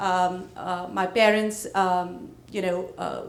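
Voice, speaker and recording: A woman's voice is heard. Room echo is audible around it. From India (Punjab). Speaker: real estate business owner. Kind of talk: panel discussion.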